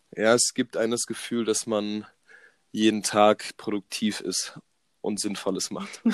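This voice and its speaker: Recorded dry and close with no echo, a man speaks slowly at a fairly low pitch in a monotone, flat intonation. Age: 20s. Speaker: sports science student. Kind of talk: casual chat.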